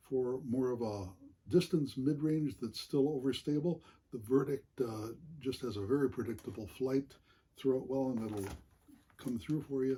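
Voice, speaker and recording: A man speaks at a moderate pace in a dark, mellow tone that is somewhat breathy. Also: medium pitch for a man, ordinary pitch variation. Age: 70s. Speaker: amateur disc golfer. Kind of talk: equipment show-and-tell. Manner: frequent hesitations, many uhs.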